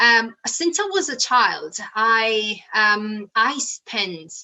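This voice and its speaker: A woman with an Italian accent and lively intonation. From Italy, Naples. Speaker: rocket scientist and public speaker. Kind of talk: motivational talk. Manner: hesitant, with fillers.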